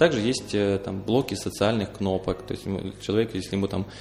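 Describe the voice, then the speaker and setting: Somewhat breathy and fairly low in pitch, a man talks at a fairly quick pace. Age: 20s. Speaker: entrepreneur. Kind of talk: interview. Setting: studio.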